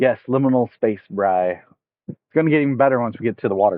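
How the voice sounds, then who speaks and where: Lively intonation marks a man's very fast speech. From United States, not Arkansas. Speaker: fishing streamer. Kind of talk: live stream tutorial and chat. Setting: outdoors, streaming from phone. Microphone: phone mic with headphones, poor audio.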